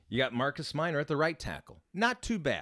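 With vocal fry and very wide pitch swings, a man talks at a moderate pace in a dry, close sound with no echo. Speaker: sports podcast co-host. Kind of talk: casual chat.

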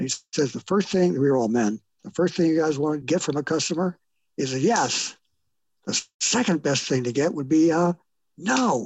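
A man speaks with a plain, everyday voice at a moderate pace. His pitch is fairly high and his intonation lively. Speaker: sales training company host. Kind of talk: casual interview chat.

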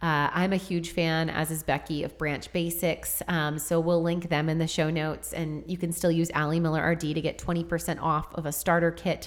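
A woman speaks with an American accent at a moderate pace, hardly pausing at all. Her intonation is flat and monotone, and there is noticeable background noise. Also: fairly low pitch for a woman. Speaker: podcast host, dietitian. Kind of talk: casual educational chat.

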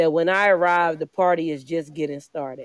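A woman with an ordinary speaking voice and an American accent speaks at a moderate pace in a fairly low pitch, the sound dry and close with no echo. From Philadelphia. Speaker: poet and entrepreneur. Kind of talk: spoken word performance.

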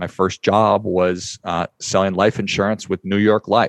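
A man with an American accent, an unremarkable speaking voice and a fairly low pitch, at a fairly slow pace with fairly even intonation, dry, close sound with no echo and a quiet background. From US Midwest, northern Minnesota. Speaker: podcast host and financial advisor. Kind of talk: interview. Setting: studio.

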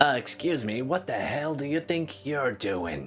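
A man puts on a gravelly character voice at a fairly high pitch, speaking at a fairly slow pace over clear background noise. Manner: stern, indignant.

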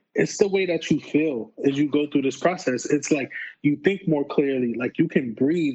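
A man with a New York accent at a fairly high pitch, with ordinary pitch variation and a moderate pace. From New York, the Bronx. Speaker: PhD student. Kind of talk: casual interview. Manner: halting, repeats words.

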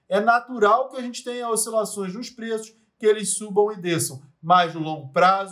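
This is a man speaking. His intonation is lively. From Rio de Janeiro, Brazil. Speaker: investment analyst and podcast host. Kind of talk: scripted educational podcast.

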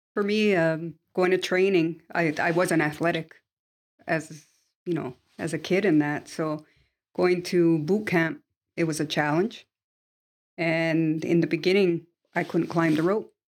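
On a very clean recording with a silent background, a woman with a fairly low pitch talks at a fairly slow pace, her intonation fairly even and her pauses long and frequent. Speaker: marine veteran. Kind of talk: interview.

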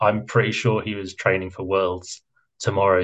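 A man with a British accent speaks at a moderate pace, somewhat breathy, over a quiet background. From Britain. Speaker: cycling pundit. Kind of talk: casual chat.

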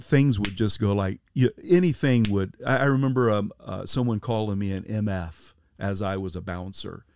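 An American-accented man with a fairly low pitch and ordinary pitch variation speaks at a moderate pace with hardly any pauses, in a very clean recording with a silent background. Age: 50s. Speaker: pastor. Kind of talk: testimony. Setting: camper van mobile studio.

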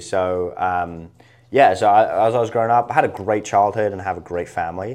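The background is quiet as a man speaks with a southern English accent. His voice is fairly low with ordinary pitch variation, and he goes at a fairly quick pace. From England, Isle of Wight. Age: 20s. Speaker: entrepreneur. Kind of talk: interview.

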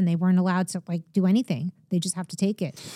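Talking at a very fast pace, a woman has an American accent. The recording is very clean, and the background is silent. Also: dry, close sound with no echo. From Long Island, New York. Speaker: political commentator and podcast co-host. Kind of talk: casual chat.

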